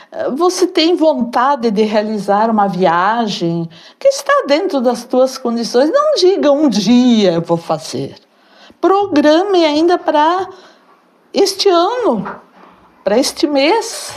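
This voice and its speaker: At a very slow pace, a woman speaks with a high pitch and very wide pitch swings. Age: 70s. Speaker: author and volunteer. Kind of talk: interview.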